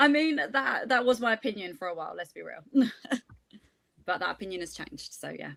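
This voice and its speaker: A woman with a London accent, fairly high-pitched and fairly quick, with vocal fry, very wide pitch swings, and big swings in loudness. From London, England. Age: 30s. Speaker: panelist, flight attendant. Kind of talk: casual panel chat.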